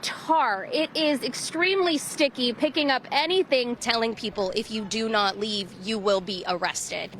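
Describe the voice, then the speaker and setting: There is noticeable background noise. A woman speaks at a fairly high pitch. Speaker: TV news reporter. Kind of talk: live field news report.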